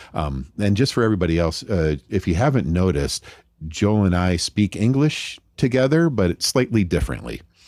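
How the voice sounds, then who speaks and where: Very deep and low in pitch, a man speaks with an American accent and very wide pitch swings. His loudness stays very even throughout. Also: moderate pace. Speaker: podcast host. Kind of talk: casual interview chat.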